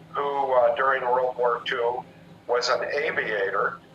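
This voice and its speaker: Noticeable noise sits behind a man as he talks. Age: 60s. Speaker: retired military pilot. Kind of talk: radio interview.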